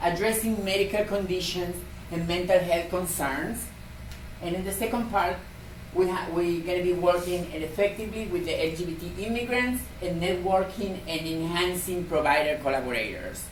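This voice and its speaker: At a moderate pace and in a strong Argentine accent, the speech has ordinary pitch variation, audible room echo and noticeable background noise. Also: woman, fairly low pitch for a woman. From Argentina. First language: Spanish. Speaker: community health program coordinator. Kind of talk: conference presentation.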